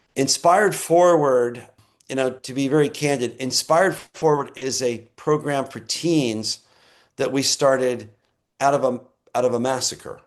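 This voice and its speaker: Delivered at a fairly slow pace, this is a normal speaking voice with ordinary pitch variation. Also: man, medium pitch for a man. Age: 60s. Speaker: conservation nonprofit director. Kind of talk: interview.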